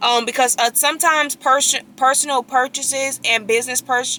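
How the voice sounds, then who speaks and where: Raised and projected, a woman's high-pitched voice moves at a fairly quick pace with fairly even intonation. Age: 20s. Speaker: vlogger and real estate agent. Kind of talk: casual vlog talk. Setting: in a car. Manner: fast.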